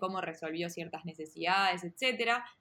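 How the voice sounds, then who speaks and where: Bright and sharp in tone, this woman's voice sits at a medium pitch. She talks at a fairly slow pace with ordinary pitch variation. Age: 30s. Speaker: product manager. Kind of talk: interview. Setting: video call.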